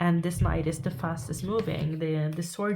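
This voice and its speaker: The voice has a Norwegian accent and a dark, mellow tone. It is somewhat breathy and moves at a fairly slow pace. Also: woman. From Norway. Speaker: tarot reader. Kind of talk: tarot reading to camera. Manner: halting.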